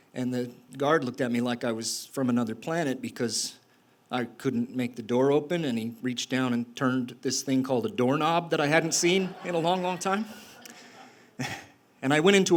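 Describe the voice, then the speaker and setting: A man's fairly high-pitched voice, a normal speaking voice, with ordinary pitch variation at a fairly quick pace. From Utah. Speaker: storyteller, former prisoner. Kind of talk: live storytelling performance. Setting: live stage, audience.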